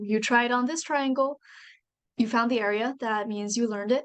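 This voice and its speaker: A woman speaks with a Chinese accent at a fairly high pitch, her intonation fairly even. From China. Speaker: university student and author. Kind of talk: presentation.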